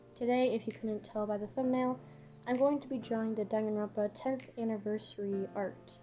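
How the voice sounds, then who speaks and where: Music plays in the background as a woman speaks. Her pace is moderate, with ordinary pitch variation. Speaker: digital artist. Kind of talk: speedpaint voiceover commentary.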